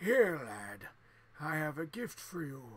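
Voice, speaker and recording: A man puts on a raspy character voice at a fairly high pitch. He talks at a fairly slow pace with very wide pitch swings. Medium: game stream.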